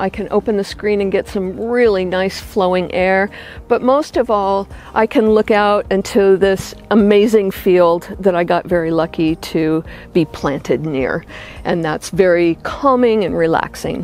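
Light background noise sits under a woman's voice. She talks at a fairly slow pace, and the sound is dry with no echo. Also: ordinary pitch variation. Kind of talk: home tour explanation. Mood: warm, content. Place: garden.

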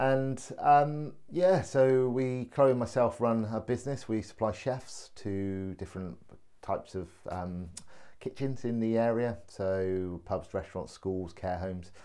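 Over a quiet background, a man speaks at a fairly slow pace with a medium pitch, a dark, mellow tone, and ordinary pitch variation. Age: 40s. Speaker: vlogger and laughter yoga enthusiast; vlogger. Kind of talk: personal video introduction. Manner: hesitant, many fillers. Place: home room. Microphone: phone near.

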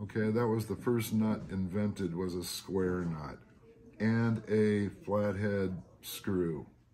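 Over light background noise, a man with a fairly low pitch speaks at a very slow pace. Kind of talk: informal explainer on spotting reproductions. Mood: relaxed, chatty. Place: shop. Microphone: phone near.

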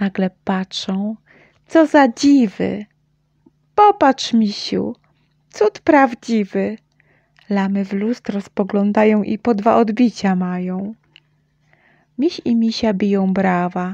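A woman speaks at a very slow pace in a dark, mellow, gentle, warm tone. Her voice is somewhat breathy, with a dry, close sound and no echo. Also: medium pitch for a woman, ordinary pitch variation. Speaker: mother reading children's audiobook. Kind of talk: bedtime story reading aloud, rhymed children's tale. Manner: gentle, sing-song and rhythmic; warm, animated storytelling with playful shifts for the dialogue.

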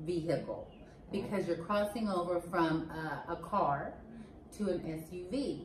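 A woman with an American accent, fairly low in pitch and at a fairly slow pace, amid light background noise and audible room echo. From United States. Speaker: co-host on the American English side. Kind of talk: casual conversation. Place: home room.

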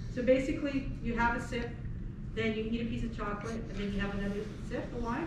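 A woman speaks at a very fast pace with ordinary pitch variation. Audible room echo and noticeable background noise surround her voice. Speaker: winery tasting host. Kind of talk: tasting explanation to guests. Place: shop. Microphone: camera far.

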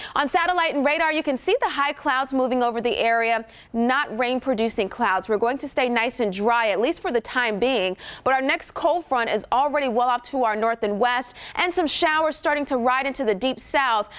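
A woman's high-pitched, upbeat voice at a fairly quick pace, with very even loudness and ordinary pitch variation. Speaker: TV meteorologist. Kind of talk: live TV weather report, reading off temperature maps. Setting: TV studio. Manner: brisk, upbeat rundown of town-by-town temperatures; friendly, conversational, loosens into light banter at end. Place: studio. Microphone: lapel.

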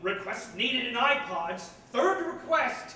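A man talks in a raised, projected voice at a fairly slow pace, his intonation lively, with audible room echo and light background noise. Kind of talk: theatrical monologue. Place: stage.

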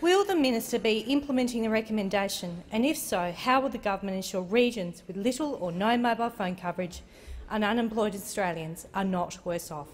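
A woman speaks at a fairly quick pace in a fairly high, somewhat breathy voice. Her intonation is lively, with light background noise behind her. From Australia. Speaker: member of parliament. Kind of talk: parliamentary question. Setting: parliament chamber. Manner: formal, crisp, prepared. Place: hall. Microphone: podium.

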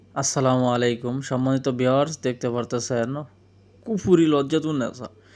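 A man talks at a medium pitch with fairly even intonation, in a normal speaking voice. The recording is very clean, with a silent background. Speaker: folk healer selling books. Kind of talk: sales pitch. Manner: casual, repetitive.

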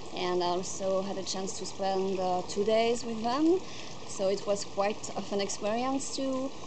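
A woman with a French accent speaks at a fairly slow pace amid noticeable background noise. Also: ordinary pitch variation. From France. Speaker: volunteer. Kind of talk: testimonial. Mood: calm, warm, grateful. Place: garden.

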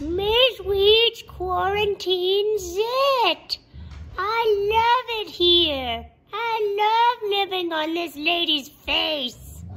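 This cartoonish character voice is extremely high-pitched. It moves at a very slow pace. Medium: puppet.

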